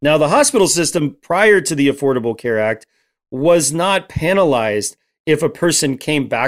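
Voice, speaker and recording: On a very clean recording with a silent background, a man with a plain, everyday voice speaks at a fairly quick pace with lively intonation and a fairly high pitch. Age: 40s. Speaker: Apache drummer and guest speaker. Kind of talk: casual interview.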